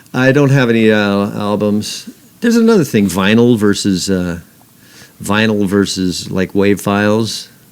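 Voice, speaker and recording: A man with an American accent speaks at a moderate pace in a plain, everyday voice, fairly low in pitch, with very even loudness and fairly even intonation. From Northern California. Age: 60s. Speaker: guitarist. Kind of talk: casual chat.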